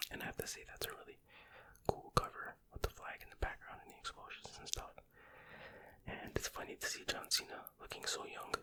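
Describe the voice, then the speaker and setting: A man whispers at a fairly quick pace. His loudness swings widely. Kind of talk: ASMR whispered rambling and reading. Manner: whispered, soft-spoken.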